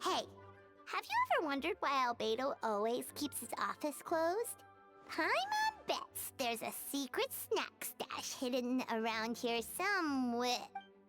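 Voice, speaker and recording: A female-sounding voice performs a put-on character voice at a high pitch, with clear music in the background. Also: moderate pace. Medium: game stream.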